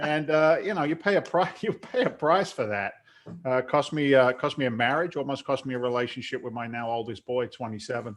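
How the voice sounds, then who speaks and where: A man with an American accent talks at a fairly quick pace, his medium-pitched voice showing ordinary pitch variation. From London, England. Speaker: real estate investor, former firefighter. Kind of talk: interview. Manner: talkative.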